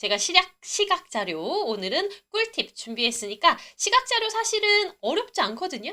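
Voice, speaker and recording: A woman's raised, projected voice, bright and sharp, animated in tone with very wide pitch swings, at a moderate pace. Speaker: English test-prep instructor. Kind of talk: live online lecture. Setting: livestream. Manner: animated, chatty.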